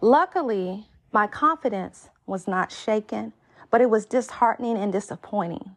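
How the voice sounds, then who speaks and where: Against a quiet background, a woman speaks at a moderate pace in an ordinary speaking voice, fairly high in pitch with ordinary pitch variation. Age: 30s. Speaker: dating podcast host. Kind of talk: solo podcast monologue.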